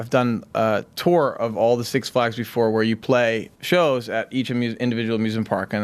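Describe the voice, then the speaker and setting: The speaker talks with an American accent and ordinary pitch variation. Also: man. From US Northeast, Boston. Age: 30s. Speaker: musician. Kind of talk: interview. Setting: outdoors at amusement park. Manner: halting, many fillers.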